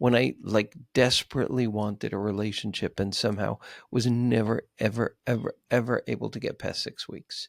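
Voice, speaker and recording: In a dry, close recording with no echo and a silent background, very clean throughout, a man with an American accent speaks at a moderate pace in an unremarkable speaking voice of medium pitch. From New York City. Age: 60s. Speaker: psychotherapist and author. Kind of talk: podcast interview.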